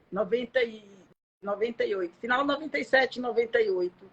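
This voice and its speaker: A woman's fairly high-pitched voice in a Bahian accent. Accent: Bahian accent, kept. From Bahia, Brazil. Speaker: social security lawyer. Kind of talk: live stream interview. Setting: Instagram live.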